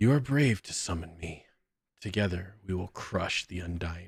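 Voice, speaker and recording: Putting on a character voice, a man rumbles at a very deep, low pitch and a moderate pace in a very clean recording over a silent background. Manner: ominous, commanding.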